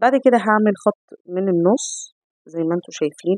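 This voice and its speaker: A woman's dark, mellow, medium-pitched voice moves at a fairly quick pace in a dry, close sound with no echo. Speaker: cooking channel host. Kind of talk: cooking tutorial.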